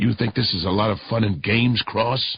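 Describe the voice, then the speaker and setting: In a put-on character voice, a man growls at a medium pitch, keeping a moderate pace and fairly even intonation. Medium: read story. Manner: aggressive, profane, domineering.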